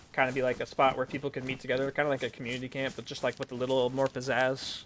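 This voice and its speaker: A man with an American accent talks at a very fast pace and a medium pitch. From US South. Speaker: streamer and roleplay gamer. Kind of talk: live game stream with roleplay.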